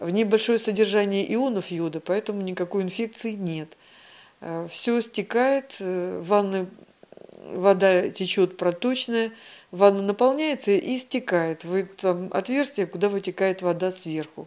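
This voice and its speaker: Speaking at a fairly slow pace, a woman uses a normal speaking voice at medium pitch with ordinary pitch variation. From southern Russia, Krasnodar Krai. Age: 60s. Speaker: patient sharing health story. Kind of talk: personal testimony.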